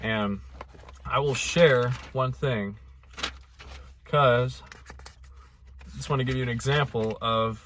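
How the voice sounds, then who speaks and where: At a very slow pace, a man with a medium pitch speaks with lively intonation. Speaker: mental health vlogger. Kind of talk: casual vlog monologue.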